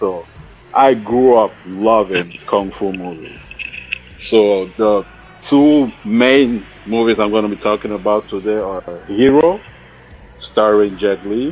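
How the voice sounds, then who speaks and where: Over music in the background, a man with a Cameroonian accent talks at a very slow pace and a fairly low pitch, with ordinary pitch variation and long, frequent pauses. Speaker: film podcast panelist. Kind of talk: casual chat.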